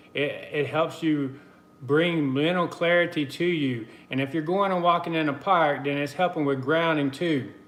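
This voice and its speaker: A man with an American accent talks at a moderate pace in a fairly high pitch. His intonation is fairly even, and audible room echo is present. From US South, the Carolinas. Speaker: spiritual guidance livestreamer. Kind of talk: live stream chat and spiritual message. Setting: live video stream from computer. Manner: casual, conversational.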